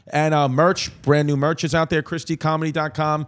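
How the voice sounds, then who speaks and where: A man speaks fairly quickly in a fairly high, monotone voice with flat intonation. The sound is dry and close, with no echo. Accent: New York. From New York. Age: 30s. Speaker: comedian and podcast host. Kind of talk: casual chat.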